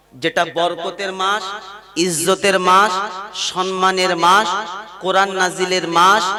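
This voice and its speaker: Noticeable background noise sits behind a man speaking with a high pitch. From North 24 Parganas, West Bengal, India. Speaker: Islamic preacher (waz speaker). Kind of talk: Islamic sermon at a public gathering. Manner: call-and-response, rhetorical questions to the audience.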